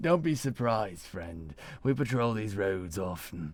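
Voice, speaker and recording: Using a put-on character voice, a man speaks fairly low at a moderate pace, his pitch swinging very widely. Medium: read story. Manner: warm, steady.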